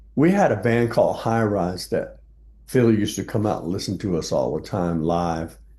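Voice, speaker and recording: A man speaks with an American accent and a dark, mellow tone. His intonation is lively, and the room echo is audible. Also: fairly low pitch for a man, moderate pace. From South Texas. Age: 70s. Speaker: jazz bassist. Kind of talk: interview.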